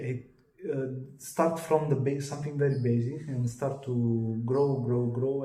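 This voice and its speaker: Noticeable background noise sits behind a man with an Italian accent. He speaks at a fairly slow pace in a monotone, flat intonation. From Italy. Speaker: channeler and contactee. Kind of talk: interview. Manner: halting.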